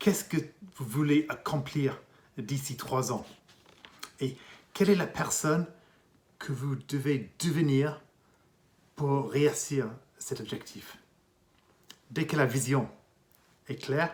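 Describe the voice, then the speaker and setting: Speaking very slowly with long, frequent pauses, a man with an English accent uses a fairly high, somewhat breathy voice and ordinary pitch variation. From England. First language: English (speaking French). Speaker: executive coach and consultant. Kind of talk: interview monologue.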